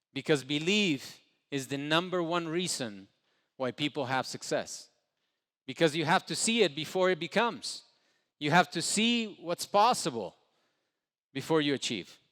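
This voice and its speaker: A man's fairly high voice with a Spanish accent, lively intonation, a moderate pace, and long, frequent pauses, on a very clean recording against a silent background. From Ecuador. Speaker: entrepreneur. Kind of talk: motivational speech. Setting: stage with audience.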